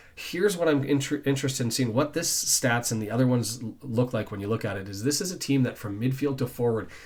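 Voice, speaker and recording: Somewhat breathy, a man talks at a very fast pace and medium pitch with ordinary pitch variation. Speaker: football fan channel host. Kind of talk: solo football preview talk. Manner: stumbling over words; casual, conversational.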